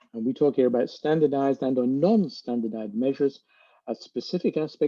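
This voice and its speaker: Using ordinary pitch variation, a man with a British accent talks at a fairly quick pace. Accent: British accent, noticeable. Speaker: speech-language therapist, webinar panelist. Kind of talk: webinar presentation. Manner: measured, with filler words.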